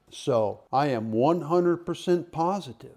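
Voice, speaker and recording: Speaking at a fairly slow pace in a normal speaking voice, a man shows ordinary pitch variation. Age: 60s. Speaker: YouTuber reviewing audio equipment. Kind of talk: casual unboxing review.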